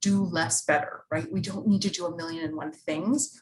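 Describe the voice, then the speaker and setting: A woman's somewhat breathy voice at medium pitch, with ordinary pitch variation and a fairly quick pace. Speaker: university staff presenter and instructor. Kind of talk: workshop presentation. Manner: fast; animated.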